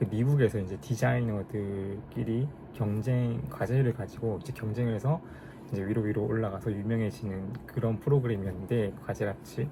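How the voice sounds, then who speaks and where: With a fairly low pitch and ordinary pitch variation, a man talks at a moderate pace while noticeable background noise is present. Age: 30s. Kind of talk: casual talk to camera vlog.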